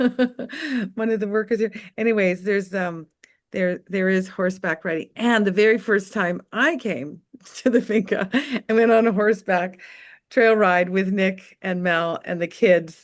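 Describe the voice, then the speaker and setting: Against a quiet background, a woman speaks in a normal speaking voice at a fairly slow pace, with medium pitch and ordinary pitch variation. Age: 60s. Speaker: webinar presenter, farm community member. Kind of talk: casual webinar chat, storytelling.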